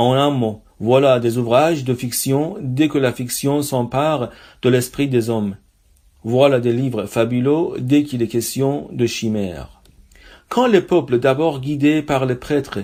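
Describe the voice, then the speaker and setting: In a very clean recording with a silent background, a man with an Iranian accent speaks at a fairly slow pace, his medium pitch carrying a dark, mellow tone and ordinary pitch variation. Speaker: reader and translator. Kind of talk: literary reading.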